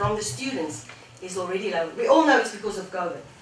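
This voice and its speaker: A medium-pitched woman with a South African accent, amid noticeable background noise and audible room echo. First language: Afrikaans. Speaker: education technology specialist. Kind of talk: panel discussion. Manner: halting.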